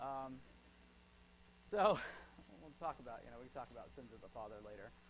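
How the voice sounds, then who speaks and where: A man at medium pitch with vocal fry, lively intonation, big swings in loudness and audible room echo. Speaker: psychology professor. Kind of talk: lecture. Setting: classroom with students. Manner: fast.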